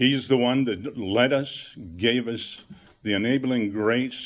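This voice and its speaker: A man talks at a fairly slow pace and a medium pitch, with ordinary pitch variation. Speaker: ministry founder. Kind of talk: testimony.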